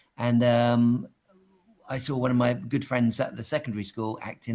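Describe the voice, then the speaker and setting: With a southern English accent, a man speaks at a medium pitch. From England, Dover. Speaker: mindset coach and entertainer. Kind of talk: interview.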